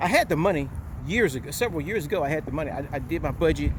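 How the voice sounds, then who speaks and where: Very fast pace with ordinary pitch variation. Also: man. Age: 60s. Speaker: retired police officer and vlogger. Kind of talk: casual vlog monologue. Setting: outdoors, walking.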